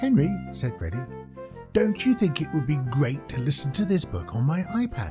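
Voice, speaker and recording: A British accent at a moderate pace, with music in the background. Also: man. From United Kingdom. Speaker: voice actor. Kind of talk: children's book narration.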